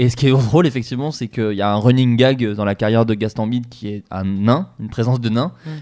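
At a very fast pace with hardly any pauses, a man talks in a medium pitch with ordinary pitch variation and a dark, mellow tone. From France, Burgundy. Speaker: podcast host. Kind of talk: casual chat.

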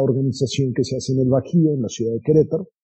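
A man's fairly high voice sounds somewhat breathy. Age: 50s. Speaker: business investor. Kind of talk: interview.

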